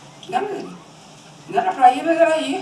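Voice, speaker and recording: Noticeable background noise and audible room echo mark the clip. Through them, a woman speaks fairly quickly. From Brazilian Northeast, Sergipe. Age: 80s+. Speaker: interviewee, elderly grandmother. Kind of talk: documentary interview, casual reminiscing.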